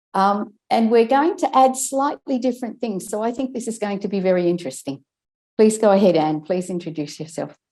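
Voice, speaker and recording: Very clean with a silent background, the recording captures a woman with an Australian accent, her fairly high, dark and mellow voice moving quickly through very wide pitch swings. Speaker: speech and language therapist. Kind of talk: casual chat.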